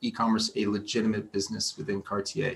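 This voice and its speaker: A man speaks with an American accent at a moderate pace. His intonation is lively. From United States. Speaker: retail digital director. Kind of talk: interview. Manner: halting, many repetitions and fillers.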